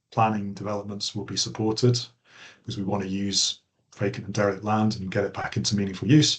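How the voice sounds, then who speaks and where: Against a quiet background, a man speaks in a fairly low, somewhat breathy voice. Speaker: planning trainer. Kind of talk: online training lecture. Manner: fast.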